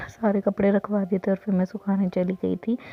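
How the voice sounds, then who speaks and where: A woman's medium-pitched, monotone voice with flat intonation at a moderate pace. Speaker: vlogger. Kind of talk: casual vlog narration.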